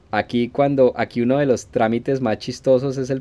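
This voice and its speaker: A man's dark, mellow voice at a medium pitch. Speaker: podcaster. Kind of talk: solo podcast monologue.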